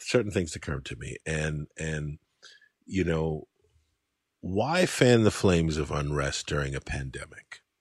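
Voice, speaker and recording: Fairly slow American-accented speech with ordinary pitch variation and a dry, close sound free of echo. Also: man, very deep, low pitch for a man. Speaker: podcast host, writer. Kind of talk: casual conversation.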